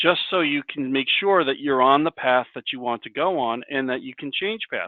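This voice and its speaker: With a normal speaking voice, a man talks at a moderate pace using ordinary pitch variation. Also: fairly high pitch for a man. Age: 60s. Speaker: career coach presenter. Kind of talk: presentation with discussion.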